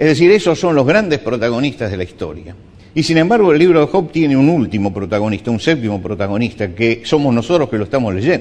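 A man talks at a very fast pace and medium pitch, with very wide pitch swings. Noticeable background noise is present. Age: 70s. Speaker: pastor. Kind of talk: sermon.

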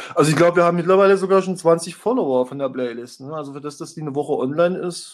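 At a very fast pace, a man talks in a fairly high pitch with ordinary pitch variation. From former East Germany. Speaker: music blog founder and former concert promoter. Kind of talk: casual chat.

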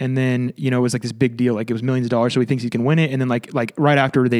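In an American accent, a man speaks very fast at a medium pitch on a very clean recording with a silent background. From California. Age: 20s. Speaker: Civil War history enthusiast, tech company employee. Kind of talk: casual chat.

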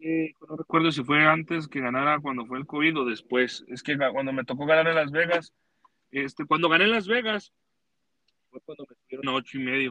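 A man at a moderate pace, bright and sharp in tone, with big swings in loudness and a dry, close sound with no echo. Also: fairly high pitch for a man, ordinary pitch variation. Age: 20s. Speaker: rodeo roper. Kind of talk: casual chat.

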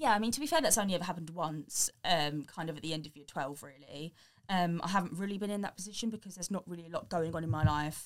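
Speaking very fast with hardly any pauses, a woman with an English accent uses a fairly low pitch and ordinary pitch variation. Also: big swings in loudness. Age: 20s. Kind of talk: casual interview. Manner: hesitant, many fillers.

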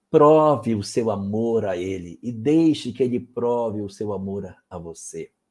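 A man's normal speaking voice at a medium pitch, with ordinary pitch variation and big swings in loudness. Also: fairly slow pace, hardly any pauses. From Brazil, Amapá. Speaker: spiritist lecturer answering questions. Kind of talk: live Q&A talk.

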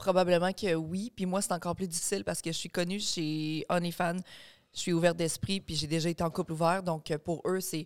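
A woman's fairly low, monotone voice with flat intonation at a fairly quick pace, in a very clean recording with a silent background. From Quebec, Beauce region. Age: 30s. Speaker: online content creator. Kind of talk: casual chat.

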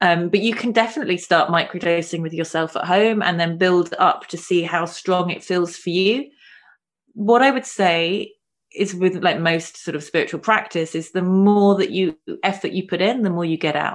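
A woman speaks with a London accent at a medium pitch against a quiet background. Her pace is moderate, with ordinary pitch variation. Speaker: spiritual coach and healer. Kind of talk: casual interview chat.

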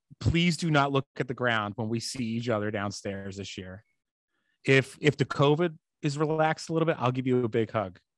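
Against a quiet background, a man with an American accent talks at a fairly quick pace in a medium pitch, with lively intonation and a dry, close sound with no echo. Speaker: podcast co-host.

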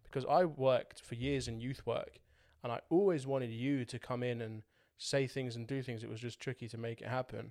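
Using an ordinary speaking voice, a man talks at a fairly quick pace with a medium pitch. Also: fairly even intonation, very clean recording, silent background. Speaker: podcast host. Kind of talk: casual chat.

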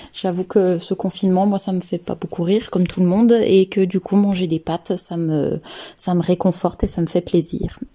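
The voice is dark and mellow, somewhat breathy, with monotone, flat intonation at a moderate pace. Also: woman, medium pitch for a woman. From France, Lyon area. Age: 30s. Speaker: clinical research assistant. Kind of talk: casual personal testimony. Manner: hesitant, with frequent filler sounds.

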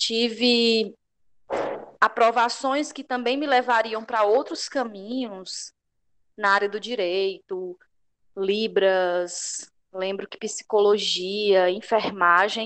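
A woman with a fairly high pitch and ordinary pitch variation speaks very slowly, leaving long, frequent pauses. Her loudness swings a lot, and the background is quiet. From Ceará, Brazil. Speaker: teacher and pedagogical coordinator. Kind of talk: casual chat. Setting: video call.

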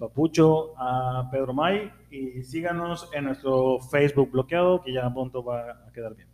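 This man has an ordinary speaking voice with ordinary pitch variation and big swings in loudness. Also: medium pitch for a man, fairly slow pace. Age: 40s. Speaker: podcast co-host. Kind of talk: casual chat.

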